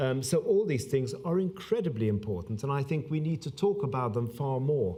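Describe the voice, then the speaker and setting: Speech comes at a fairly quick pace amid noticeable background noise and audible room echo. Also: man. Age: 60s. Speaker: public health doctor. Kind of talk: conference speech. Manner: halting, many fillers.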